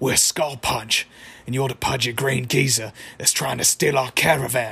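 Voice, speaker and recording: A raspy, put-on character voice in an Australian accent at a moderate pace. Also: man, medium pitch for a man. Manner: threatening.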